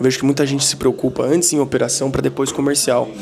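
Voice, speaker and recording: Very fast speech from a man at a medium pitch, over noticeable background noise. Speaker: marketing agency owner. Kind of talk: vlog, business talk. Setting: office with meetings going on. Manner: soft-spoken, quiet to not disturb meeting.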